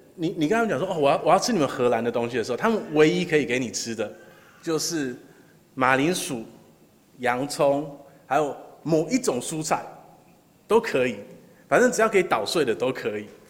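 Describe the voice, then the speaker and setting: In a room with audible echo, a man with a fairly high pitch talks fairly quickly, swinging his pitch very widely and leaving long, frequent pauses. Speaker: pastor. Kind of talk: sermon. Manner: halting, many filler sounds.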